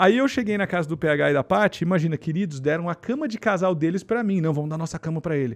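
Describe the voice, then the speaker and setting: With a quiet background and a dry, close sound without echo, a man rattles along at a very fast pace with hardly any pauses, a high pitch and lively intonation. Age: 40s. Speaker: podcast host. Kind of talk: casual chat.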